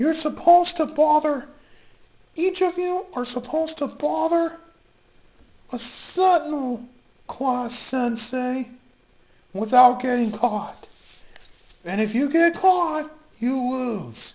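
A female-sounding voice with a high pitch moves at a fairly slow pace, leaving long, frequent pauses. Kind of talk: comic toy parody show. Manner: upbeat, announcing.

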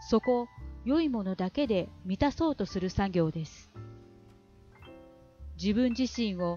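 With a Kansai accent and lively intonation, a woman speaks at a fairly slow pace in a medium pitch, her voice dry and close with no echo, over music in the background. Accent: Kansai-tinged Japanese intonation. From Kansai, Japan. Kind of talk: audiobook reading of a self-help book.

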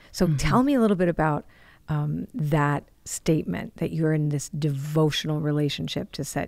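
Against a quiet background, the voice moves at a fairly quick pace with ordinary pitch variation, and the sound is dry with no echo. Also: woman. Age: 60s. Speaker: podcast host. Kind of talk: casual chat. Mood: warm, engaged. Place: studio. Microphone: studio mic.

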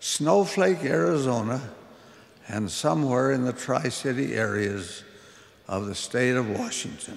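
A man talks at a fairly slow pace with vocal fry. His pitch swings very widely. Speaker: religious leader, church president giving a closing conference address. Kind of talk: sermon, religious conference address. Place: hall. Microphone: podium.

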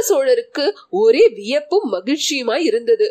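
A woman is the one talking. She moves through very wide pitch swings. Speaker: audiobook narrator. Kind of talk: audiobook reading of a historical novel.

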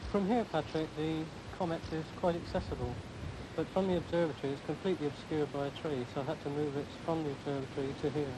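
A man with a fairly high pitch talks at a very fast pace with ordinary pitch variation. Noticeable background noise runs underneath. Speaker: amateur astronomer. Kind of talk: interview. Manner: soft-spoken. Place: garden. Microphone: quiet recording.

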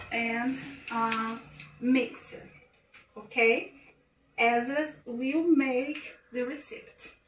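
Loud background noise surrounds the speaker. A woman speaks at a very slow pace. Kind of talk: casual recipe tutorial in hesitant second language. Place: kitchen. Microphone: phone near.

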